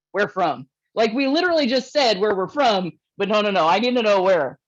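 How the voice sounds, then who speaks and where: Animated and fairly quick, the speaker talks with a Northeast Ohio accent. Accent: Inland North US (Akron, Ohio). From northeastern Ohio (Akron, Kenmore). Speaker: comedian. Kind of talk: stand-up.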